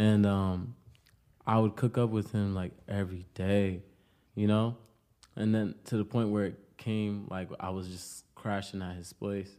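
A fairly low, dark, mellow male voice with an American accent, monotone and flat at a fairly slow pace, on a very clean recording with a silent background. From Pawtucket, Rhode Island, US. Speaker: rapper. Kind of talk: casual interview. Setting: studio.

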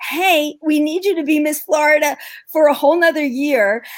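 A woman speaks at a fairly slow pace in a New York accent. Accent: New York American. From New York, US. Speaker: ministry founder and mother. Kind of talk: casual interview conversation.

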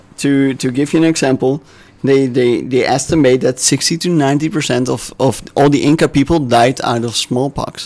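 This man talks at a fairly slow pace in a European accent. His intonation stays fairly even. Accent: noticeable European. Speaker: podcast guest presenting history. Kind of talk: casual chat. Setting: studio with several people. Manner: hesitant with fillers.

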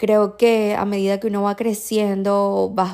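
A woman at a fairly slow pace. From Venezuela. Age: 20s. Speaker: podcast host. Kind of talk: casual monologue.

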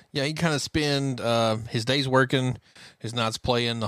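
A man talks in a normal speaking voice at a moderate pace. His intonation is fairly even, and the recording is very clean with a silent background. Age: 30s. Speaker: country music podcast co-host. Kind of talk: casual chat.

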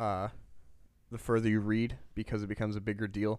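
With a Midwestern US accent, a man talks at a fairly quick pace on a very clean recording with a silent background. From US Midwest. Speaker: podcast co-host. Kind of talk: casual chat, podcast discussion.

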